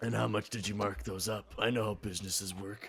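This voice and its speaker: A man puts on a raspy character voice, fairly low in pitch with ordinary pitch variation, talking at a fairly quick pace over clear background noise. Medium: actual play. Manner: grandiose, speechifying.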